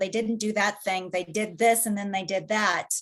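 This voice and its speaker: A woman of medium pitch, with ordinary pitch variation and an ordinary speaking voice. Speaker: assistant attorney general presenter. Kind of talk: webinar presentation. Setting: online webinar.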